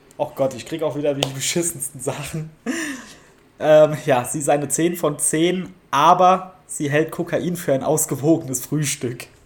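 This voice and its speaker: Against noticeable background noise, a man with a fairly high pitch speaks fairly slowly with fairly even intonation. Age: 30s. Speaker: podcast guest. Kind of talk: casual chat. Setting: remote call.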